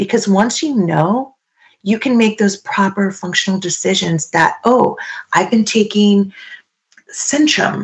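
A somewhat breathy woman at a fairly slow pace with very even loudness. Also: medium pitch for a woman, ordinary pitch variation. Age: 50s. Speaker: supplement company trainer. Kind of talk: casual chat.

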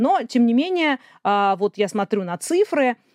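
Woman's fairly high, dark and mellow voice with very wide pitch swings at a fairly slow pace, in a dry, close sound with no echo. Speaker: science popularizer and journalist. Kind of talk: interview.

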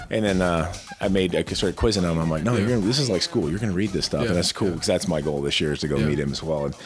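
A man speaks very fast in a very deep, low voice with ordinary pitch variation. His loudness stays very even over noticeable background noise. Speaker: podcast host. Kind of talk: casual interview chat.

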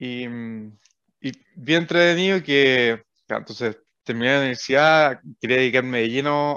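A man speaks at a very slow pace. His voice is fairly high, with ordinary pitch variation. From Chile, O'Higgins region (Rengo, Rancagua). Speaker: startup co-founder. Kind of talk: interview.

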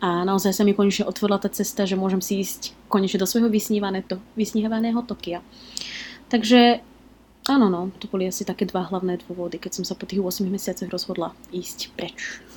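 A woman talks at a fairly quick pace in a somewhat breathy voice with fairly even intonation. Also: medium pitch for a woman. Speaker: blogger and expat working in Japan. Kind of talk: interview.

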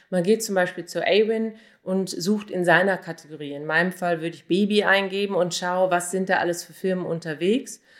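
A woman with a normal speaking voice talks at a moderate pace, her intonation fairly even but her loudness swinging widely. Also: medium pitch for a woman. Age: 40s. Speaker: online marketer and blogger. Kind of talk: interview answers.

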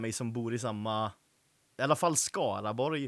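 A man's unremarkable speaking voice with ordinary pitch variation in a very clean recording with a silent background. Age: 20s. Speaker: podcast host. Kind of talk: casual chat.

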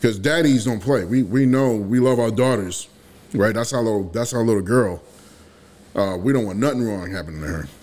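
Speaking in an unremarkable speaking voice at a fairly quick pace, a man keeps a medium pitch with ordinary variation. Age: 40s. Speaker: podcast co-host. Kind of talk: casual chat.

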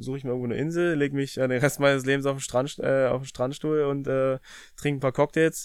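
A man speaks with monotone, flat intonation. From Brandenburg, eastern Germany. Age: 30s. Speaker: professional footballer. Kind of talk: casual interview. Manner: halting, many fillers.

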